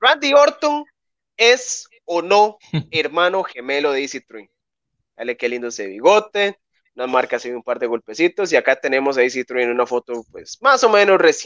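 A man with a Costa Rican accent speaks at a high pitch, his voice swinging very widely up and down. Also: moderate pace, big swings in loudness. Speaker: wrestling news show host. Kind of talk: casual chat.

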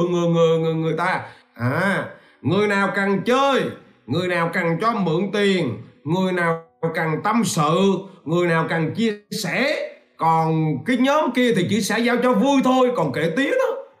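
Lively intonation carries through a very slow delivery, with audible echo in the room. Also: man, very even loudness. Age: 40s. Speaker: business coach. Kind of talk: livestream talk. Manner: animated.

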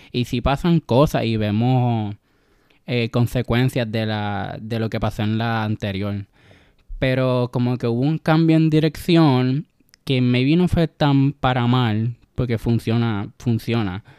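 A man at medium pitch, with a dark, mellow tone, ordinary pitch variation and a very slow pace, in a dry, close sound with no echo on a very clean recording with a silent background. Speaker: podcast guest, film fan. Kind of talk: casual chat. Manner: shy at first.

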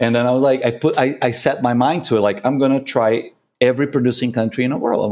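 A man talks at a very fast pace with a medium pitch. The recording is very clean, with a silent background. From Brazil. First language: Portuguese. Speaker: coffee consultant and barista judge. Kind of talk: casual interview.

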